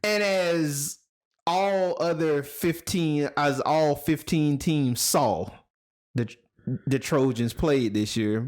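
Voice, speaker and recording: A man with a Southern US accent speaks at a very slow pace and a fairly high pitch, with very even loudness and ordinary pitch variation. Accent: Southern country. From South Georgia, US South. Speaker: podcast host. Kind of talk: casual chat. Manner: animated.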